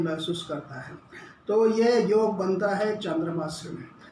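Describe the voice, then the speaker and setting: A man speaks with ordinary pitch variation over noticeable background noise, with audible room echo. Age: 70s. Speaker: astrologer. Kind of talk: lecture. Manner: halting.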